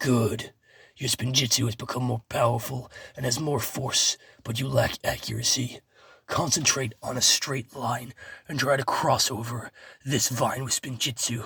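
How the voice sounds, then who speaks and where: A put-on character voice from a man, raspy and medium-pitched, with monotone, flat intonation at a moderate pace. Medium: read story. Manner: measured, instructive.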